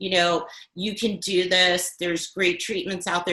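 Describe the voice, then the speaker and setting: Fairly even intonation at a moderate pace with noticeable background noise. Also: woman. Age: 60s. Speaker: cancer survivor and patient advocate. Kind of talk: testimony. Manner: hesitant, with fillers.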